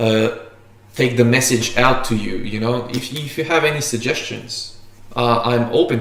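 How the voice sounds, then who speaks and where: A man at a moderate pace, his intonation fairly even, with audible room echo. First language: Macedonian or Slovenian. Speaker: barista and coffee YouTuber; video host. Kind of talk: casual livestream chat. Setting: livestream. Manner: halting, many fillers and restarts. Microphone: camera far.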